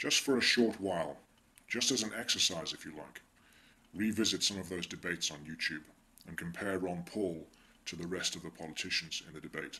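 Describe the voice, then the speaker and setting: Someone with an English accent and a bright, sharp tone talks at a fairly quick pace, with ordinary pitch variation and big swings in loudness. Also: man, very deep, low pitch for a man. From England. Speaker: political commentator. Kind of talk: video monologue.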